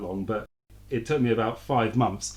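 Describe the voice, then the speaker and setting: The speech has a British accent and a fairly quick pace. Intonation is fairly even over a quiet background. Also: man. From London, England. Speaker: author and fund manager. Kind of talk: podcast interview. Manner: slightly halting, repeats words.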